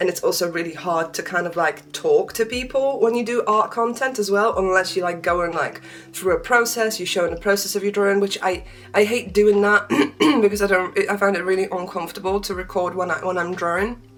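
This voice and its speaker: Over music in the background, the speaker talks at a fairly quick pace with a slight Polish accent. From Poland. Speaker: beauty and art vlogger. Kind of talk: casual chat.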